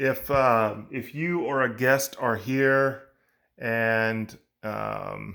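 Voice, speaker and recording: Loud, very slow speech with fairly even intonation comes through in a very clean recording with a silent background. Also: man, medium pitch for a man. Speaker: generator technician. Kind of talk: tutorial.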